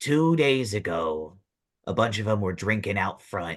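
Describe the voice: Putting on a character voice, a man talks at a fairly low pitch against a quiet background. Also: moderate pace.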